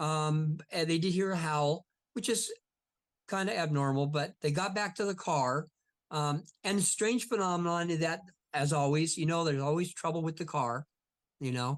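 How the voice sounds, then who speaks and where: With an ordinary speaking voice, a man speaks at a moderate pace and fairly high pitch, ordinary pitch variation and very even loudness over a quiet background. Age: 60s. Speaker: Bigfoot investigator and author. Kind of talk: casual interview chat.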